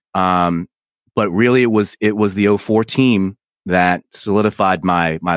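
Dry and close with no echo on a very clean recording with a silent background, a man with an American accent speaks at a fairly slow pace in an unremarkable speaking voice, his pitch fairly low with ordinary variation. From Philadelphia. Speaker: radio host. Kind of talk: casual chat.

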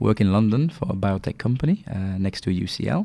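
A man with a French accent, fairly low-pitched, talking at a very fast pace. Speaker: pharma executive. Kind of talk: interview. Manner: halting, many fillers.

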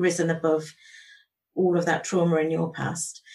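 At a moderate pace, a woman speaks in an unremarkable speaking voice pitched fairly low. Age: 50s. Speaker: podcast host. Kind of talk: interview; scripted introduction.

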